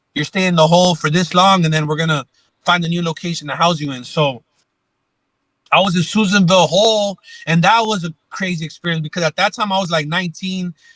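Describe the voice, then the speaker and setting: Fairly even intonation marks this very fast delivery, heard with a dry, close sound and no echo. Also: man, high pitch for a man. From Los Angeles, California. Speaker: former gang member and ex-prisoner. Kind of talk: interview storytelling. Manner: casual, slangy with frequent fillers.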